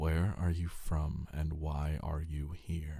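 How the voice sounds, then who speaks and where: A man puts on a gruff character voice, very deep and low in pitch, quiet and monotone with flat intonation. He speaks at a very slow pace. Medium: read story. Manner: curt, commanding.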